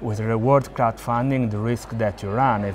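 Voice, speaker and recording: At a moderate pace, the speaker is heard over noticeable background noise. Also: man. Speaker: interviewee. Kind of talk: interview answer. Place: hall. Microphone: lapel.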